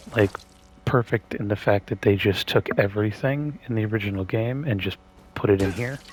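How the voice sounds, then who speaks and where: There is noticeable background noise behind this man. He talks at a fairly quick pace in a fairly low pitch. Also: ordinary pitch variation. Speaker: gaming streamer. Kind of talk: gameplay commentary. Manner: rambling, hesitant with fillers. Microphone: voice quiet relative to game sound.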